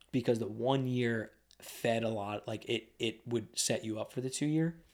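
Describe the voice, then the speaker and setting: With an American accent, this is an unremarkable speaking voice with ordinary pitch variation. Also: man. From Lebanon, Pennsylvania, US. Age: 30s. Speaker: real estate entrepreneur. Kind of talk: casual interview. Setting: studio.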